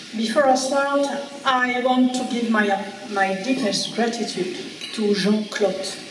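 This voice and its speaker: A woman with a French accent speaks at a fairly slow pace in a fairly high voice with ordinary pitch variation, with audible room echo and noticeable background noise. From France. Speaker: archaeologist. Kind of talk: lecture. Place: hall. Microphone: podium.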